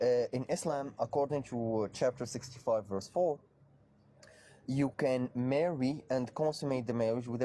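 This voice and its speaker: Here a man talks with an Arabic accent. His loudness stays very even, and his pitch varies in an ordinary way. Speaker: debater on Islam. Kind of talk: heated debate.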